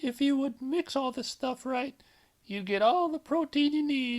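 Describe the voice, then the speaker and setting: Pitched high, a put-on character voice speaks at a moderate pace. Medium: read story.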